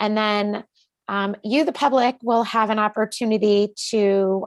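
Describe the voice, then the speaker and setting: A woman's medium-pitched voice at a fairly slow pace, with ordinary pitch variation, dry and close with no echo, against a quiet background. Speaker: committee chair presenting at public hearing. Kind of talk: public hearing presentation. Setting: public meeting. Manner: hesitant, many fillers.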